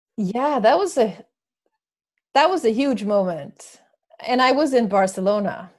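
The speaker has a Swedish accent and very wide pitch swings. The pace is fairly slow, with long, frequent pauses. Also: woman, fairly high pitch for a woman. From Sweden. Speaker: author and sports marketing manager. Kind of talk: casual interview conversation.

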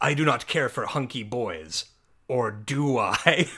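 Booming in a put-on character voice, a man speaks fairly slowly at a medium pitch. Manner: pompous, comic.

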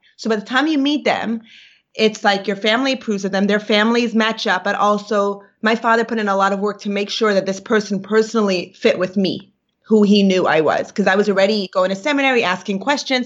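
A woman's medium-pitched voice, fairly quick in pace and fairly even in intonation, over a quiet background. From Brooklyn, New York. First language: Yiddish. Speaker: actor and podcast co-host. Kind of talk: casual interview chat, storytelling.

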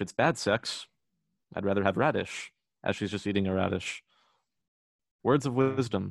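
At a moderate pace with long, frequent pauses, a man speaks in a fairly low pitch with ordinary pitch variation, recorded dry and close with no echo against a quiet background. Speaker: podcast co-host. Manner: joking, banter, laughs often.

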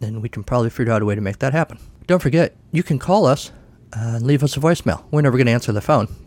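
Lively intonation throughout reading aloud in a natural voice

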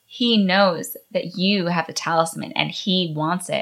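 A woman puts on a raspy character voice at a medium pitch. She speaks at a fairly slow pace. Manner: put-on character voice.

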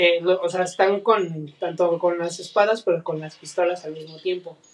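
Speech in a Mexican accent at a moderate pace, with fairly even intonation and noticeable background noise. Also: man. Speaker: podcast co-host, teacher. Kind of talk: casual chat.

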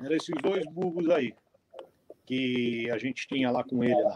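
The voice belongs to a man with a medium pitch. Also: dry, close sound with no echo. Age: 60s. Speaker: mule breeder and horseman. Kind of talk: casual interview on a live stream.

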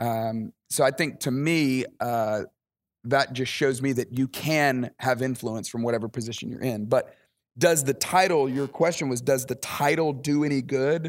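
A man's medium-pitched voice in a Southern US accent, fairly slow with ordinary pitch variation, in a very clean recording against a silent background. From Alabama, US South. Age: 40s. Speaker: pastor. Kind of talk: interview. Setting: at a camp, outdoors by a pool.

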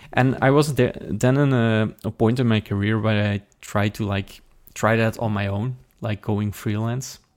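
The man talks at a fairly low pitch with fairly even intonation. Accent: Flemish. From Belgium, Limburg (Flemish). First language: Dutch. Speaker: software developer and conference organizer. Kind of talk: interview. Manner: halting, many fillers.

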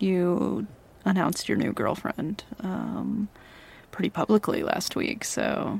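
A woman speaks at a very slow pace. Her tone is playful. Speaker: ASMR roleplay audio creator. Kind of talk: ASMR roleplay, intimate flirty scripted-sounding scene. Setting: ASMR audio roleplay addressed to a listener. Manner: teasing, playful, possessive, flirty with laughs and pauses.

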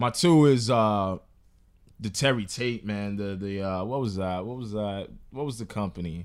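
Captured on a very clean recording with a silent background, a plain, everyday voice moves at a moderate pace with ordinary pitch variation. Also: man, fairly low pitch for a man. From New York. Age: 20s. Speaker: podcast host. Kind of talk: casual chat.

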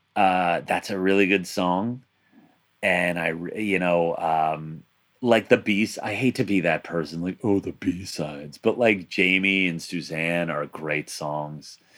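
This man talks at a fairly slow pace in a very deep, low voice with ordinary pitch variation. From Long Island, New York. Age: 30s. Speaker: podcast host. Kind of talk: casual chat.

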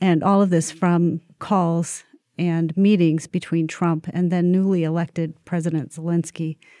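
In a very clean recording with a silent background and a dry, close sound with no echo, a woman speaks fairly slowly with fairly even intonation, her fairly low voice dark and mellow. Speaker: podcast host. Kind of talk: interview discussion.

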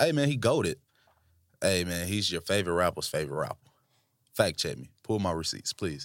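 A man with a very deep, low pitch and a Southern US accent talks in an animated tone with very wide pitch swings. His pace is fairly quick despite long, frequent pauses, on a very clean recording with a silent background. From Tennessee (Franklin). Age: 20s. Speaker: podcast co-host. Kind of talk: casual chat.

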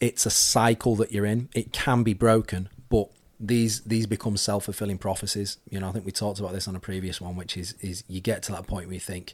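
Fairly quick and fairly even in intonation, a man's fairly low voice comes through in a very clean recording with a silent background. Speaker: fitness coach and podcast host. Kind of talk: casual advice Q&A chat. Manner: conversational, hesitant with fillers.

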